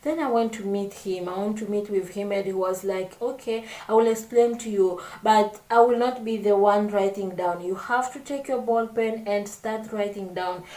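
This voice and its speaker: A woman's medium-pitched voice at a moderate pace, with hardly any pauses, fairly even intonation and noticeable background noise. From Congo. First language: not English. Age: 20s. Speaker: vlogger. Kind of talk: casual chat. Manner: halting.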